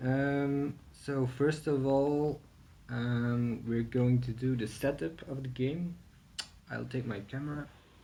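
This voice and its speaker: Very slow speech from a man with a non-native accent, medium pitch and fairly even intonation, over light background noise. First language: not English. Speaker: board game reviewer. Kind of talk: tutorial. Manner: hesitant, many fillers. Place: home room. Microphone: camera far.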